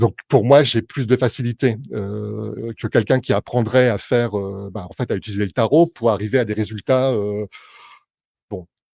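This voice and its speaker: A man talks at a moderate pace in a dark, mellow tone, pitched fairly low with ordinary variation. The sound is dry and close with no echo, over a quiet background. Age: 50s. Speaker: tarot reader and clairvoyant. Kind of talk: live stream explanation to viewers. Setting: live Facebook stream. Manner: hesitant, many fillers.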